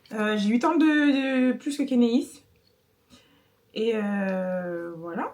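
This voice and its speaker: Very slowly and with long, frequent pauses, a woman speaks in a fairly high voice with lively intonation. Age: 20s. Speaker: older sister, post-production administrative assistant. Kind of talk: casual chat.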